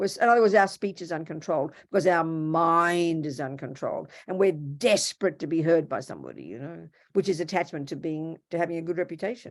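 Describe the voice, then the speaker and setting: Against a silent background in a very clean recording, a woman with an Australian accent speaks in a fairly low voice with hardly any pauses. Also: ordinary pitch variation, fairly quick pace. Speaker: Buddhist nun and teacher. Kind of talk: dharma talk. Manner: animated.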